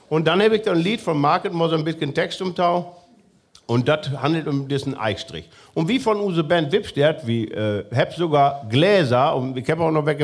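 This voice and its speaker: Speaking at a moderate pace, a man with a fairly high pitch and lively intonation has a plain, everyday voice. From northwest Germany, near Osnabrück. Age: 40s. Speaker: musician. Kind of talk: casual chat. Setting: stage with audience.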